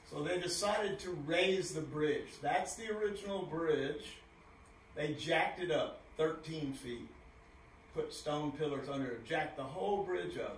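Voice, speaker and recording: A man speaks at a fairly high pitch and a fairly slow pace, with ordinary pitch variation. Light background noise and audible room echo can be heard. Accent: American. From Texas. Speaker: author and postcard collector. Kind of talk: presentation. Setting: stage with audience. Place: hall.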